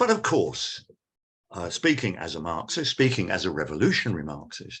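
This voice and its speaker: A man speaks with a British accent. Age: 70s. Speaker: academic speaker. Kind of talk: lecture.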